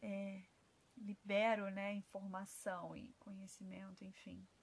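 Very slow and monotone, a woman talks at a medium pitch with flat intonation. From Rio de Janeiro, Brazil. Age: 20s. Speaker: holistic therapist. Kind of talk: podcast monologue. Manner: halting.

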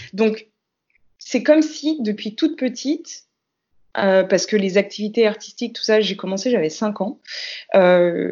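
A woman speaks in a fairly high voice with lively intonation. She goes at a fairly slow pace, with long, frequent pauses. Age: 30s. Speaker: dancer and multidisciplinary artist. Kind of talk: casual interview.

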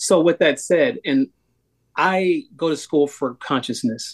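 A man speaks with ordinary pitch variation against a quiet background. The sound is dry and close, with no echo. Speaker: podcast co-host. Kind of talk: podcast interview. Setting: video call. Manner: animated.

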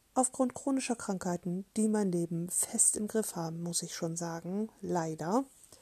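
With a dark, mellow tone and a somewhat breathy quality, a woman talks at a fairly slow pace with lively intonation, the sound dry and close with no echo. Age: 30s. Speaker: podcaster, self-love activist. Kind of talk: casual monologue introduction.

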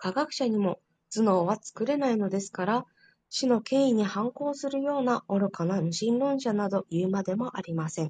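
Somewhat breathy, the voice has a dark, mellow tone and lively intonation. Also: woman, fairly high pitch for a woman, moderate pace, dry, close sound with no echo. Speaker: study group participant. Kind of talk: reading aloud. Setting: online group voice room. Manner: polite.

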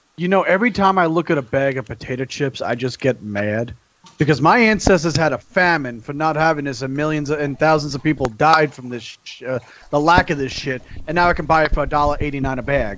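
In a normal speaking voice, a man talks at a fairly quick pace, his fairly high pitch showing ordinary variation. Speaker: guest from another podcast. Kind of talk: crude banter. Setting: group call.

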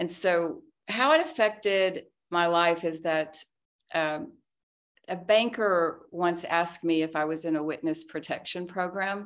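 A woman's plain, everyday voice with an American accent, fairly low in pitch with ordinary pitch variation and a fairly slow pace, on a very clean recording with a silent background. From US South, Arkansas. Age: 60s. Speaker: tech entrepreneur. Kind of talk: casual interview, personal testimony.

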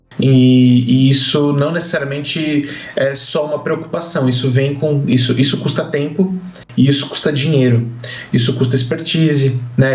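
At a moderate pace, a man talks in a fairly high pitch with ordinary pitch variation, with audible room echo and noticeable background noise. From São Paulo, Brazil. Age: 20s. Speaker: startup CEO. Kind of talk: podcast interview. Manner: halting, repeats words.

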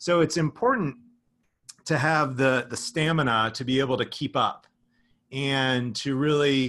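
An American man with an unremarkable speaking voice, fairly high in pitch, with ordinary pitch variation, on a very clean recording with a silent background. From southern New Jersey near Philadelphia. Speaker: marketing executive. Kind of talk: interview.

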